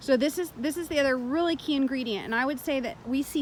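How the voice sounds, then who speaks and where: Loud and animated, a woman talks with a high pitch and ordinary pitch variation. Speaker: dog trainer. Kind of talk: tutorial commentary over training footage.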